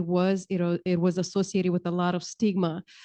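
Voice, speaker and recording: With a Romanian accent, a woman talks at a fairly quick pace. Her pitch is medium. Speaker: county human services official. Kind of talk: panel discussion.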